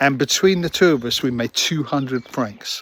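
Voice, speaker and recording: With a London accent, a man speaks at a moderate pace, his medium pitch showing ordinary variation. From London, England. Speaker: vlogger. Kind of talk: casual storytelling. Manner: halting, many fillers.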